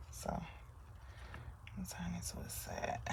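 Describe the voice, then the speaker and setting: A woman speaks softly. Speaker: soap maker and small business owner. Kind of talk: tutorial. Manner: soft-spoken.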